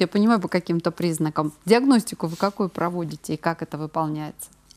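Against a quiet background, a woman with an unremarkable speaking voice talks at a moderate pace with lively intonation. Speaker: TV presenter. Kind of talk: live TV health call-in show. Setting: TV studio. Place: studio.

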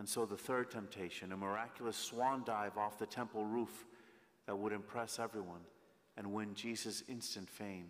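A normal speaking voice at a moderate pace. The intonation stays fairly even. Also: man, fairly low pitch for a man. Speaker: priest. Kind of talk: sermon. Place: church. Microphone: podium.

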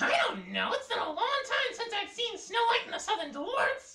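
Using a put-on character voice, a man speaks at a moderate pace in an extremely high pitch. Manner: haughty, dismissive.

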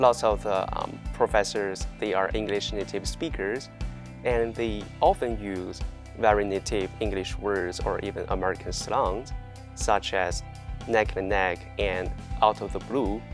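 Clear music plays in the background as a man with a Chinese accent speaks at a fairly slow pace. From China. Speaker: university student. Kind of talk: interview answer. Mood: friendly, smiling. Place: classroom. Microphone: lapel.

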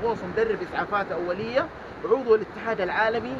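A man talks at a moderate pace with ordinary pitch variation. Background noise is noticeable. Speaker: diving instructor. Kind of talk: tutorial. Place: boat. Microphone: phone near.

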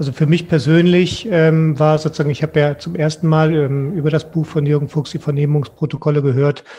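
Somewhat breathy, a man with a dark, mellow tone speaks at a fairly quick pace with fairly even intonation. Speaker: guest. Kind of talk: panel discussion answer. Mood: thoughtful, earnest. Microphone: headset.

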